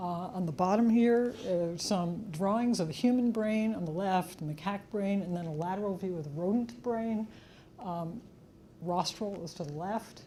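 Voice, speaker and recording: Audible room echo surrounds a woman whose somewhat breathy, dark, mellow voice sits at medium pitch, moving at a moderate pace with ordinary pitch variation. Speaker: neuroscientist giving an invited lecture. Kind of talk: lecture.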